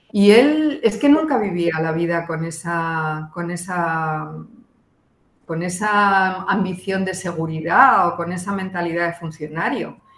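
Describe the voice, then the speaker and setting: A woman with a fairly low pitch speaks at a very slow pace with ordinary pitch variation. Audible room echo surrounds her voice. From Spain. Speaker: art historian. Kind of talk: radio interview.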